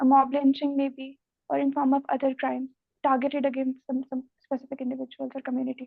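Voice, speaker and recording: Soft-spoken and high-pitched, a woman talks at a very fast pace with monotone, flat intonation. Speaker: civil services interview candidate. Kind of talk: mock interview answer.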